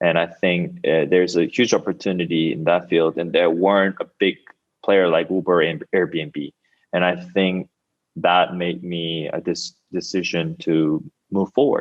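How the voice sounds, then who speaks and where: A man with a Korean accent, very deep and low in pitch, fairly slow and fairly even in intonation. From South Korea. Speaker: startup founder. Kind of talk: interview.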